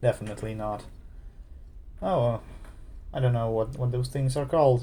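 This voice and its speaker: A man's medium-pitched, dark, mellow and somewhat breathy voice at a moderate pace with fairly even intonation. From Ukraine. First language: Ukrainian. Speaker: gamer. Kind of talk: let's play commentary. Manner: halting.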